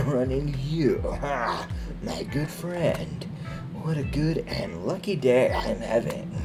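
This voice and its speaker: Over loud music in the background, a man does a put-on character voice at a fairly slow pace, his pitch fairly high. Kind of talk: gravelly stealth-hero impression. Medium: solo performance. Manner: friendly, polite.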